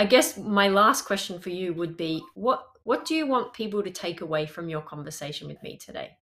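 A woman with an Australian accent speaks at a fairly quick pace and medium pitch, her loudness swinging widely and her pitch swinging very widely. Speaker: podcast host and language coach. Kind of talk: interview conversation.

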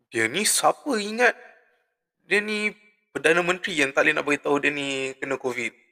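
The man speaks at a moderate pace in a fairly high pitch with lively intonation. The sound is dry and close, with no echo. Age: 20s. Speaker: podcast host. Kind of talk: casual solo monologue.

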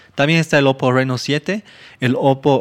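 Over a silent background in a very clean recording, a man speaks at medium pitch with fairly even intonation. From Argentina and Bolivia, born Buenos Aires. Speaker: tech podcast co-host. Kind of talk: casual chat. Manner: halting, repeats words.

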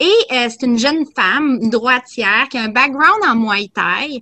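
There is noticeable background noise, and the sound is dry and close with no echo. A woman speaks in a raised, projected voice. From Quebec. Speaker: boxing commentator. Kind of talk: casual chat.

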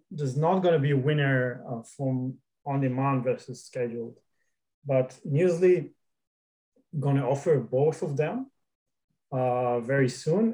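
At a very slow pace, a man speaks in a dark, mellow tone, fairly high in pitch with ordinary pitch variation. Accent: non-native. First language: not English. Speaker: startup founder. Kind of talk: interview.

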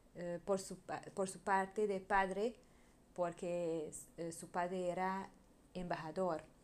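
With a Hungarian accent, a woman speaks at a fairly slow pace and medium pitch. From Hungary. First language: Hungarian (speaking Spanish). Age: 30s. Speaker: podcaster. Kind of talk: casual monologue. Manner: halting.

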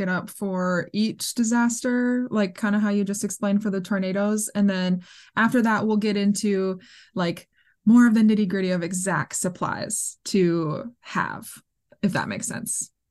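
A woman speaks with an American accent at a moderate pace, her voice somewhat breathy and her intonation fairly even over a quiet background. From US Midwest. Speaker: podcast host and outdoor writer. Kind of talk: interview.

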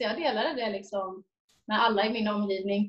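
This is a woman talking. Her delivery is fairly slow. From Sweden, Jönköping. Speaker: missionary volunteer. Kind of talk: interview testimony.

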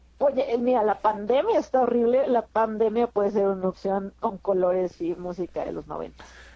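At a moderate pace and with hardly any pauses, a woman talks in a normal speaking voice, fairly high in pitch, with ordinary pitch variation. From Mexico City. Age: 30s. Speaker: stand-up comedian. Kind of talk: casual interview.

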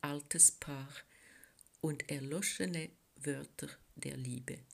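In a French Swiss accent, a woman speaks at a very slow pace. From French-speaking Switzerland. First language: French (speaking German). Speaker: poet. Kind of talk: poetry reading.

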